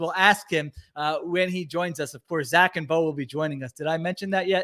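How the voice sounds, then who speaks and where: A man's raised, projected voice, bright, sharp and energetic, at a fairly quick pace in a very clean recording with a silent background. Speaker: sports podcast host. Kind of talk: sports analysis podcast chat. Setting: live-streamed podcast with chat. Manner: fast; energetic, fired up.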